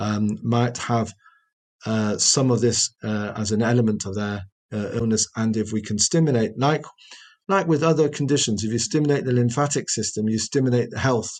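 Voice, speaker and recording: Speaking at medium pitch, a man keeps a moderate pace, and his pitch varies in an ordinary way. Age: 60s. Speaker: osteopath and researcher. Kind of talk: interview. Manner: halting.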